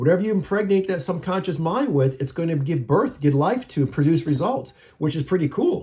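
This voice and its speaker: A man with a high voice talks at a fairly quick pace in a passionate, animated tone. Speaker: mental health motivational YouTuber. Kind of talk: motivational monologue.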